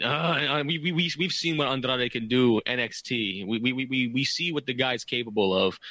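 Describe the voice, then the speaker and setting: This man has an ordinary speaking voice at medium pitch. He talks at a moderate pace with ordinary pitch variation. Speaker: wrestling podcast co-host. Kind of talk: casual chat.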